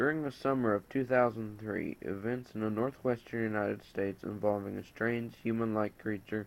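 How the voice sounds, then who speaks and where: At a moderate pace, a man talks in an unremarkable speaking voice, his fairly low pitch paired with fairly even intonation. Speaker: story narrator. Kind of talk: horror story reading.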